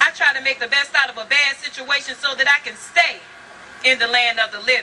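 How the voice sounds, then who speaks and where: Speaking at a moderate pace in an American accent, a woman projects her high-pitched voice with ordinary pitch variation over noticeable background noise. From Virginia. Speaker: spoken word poet. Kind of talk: spoken word poetry performance.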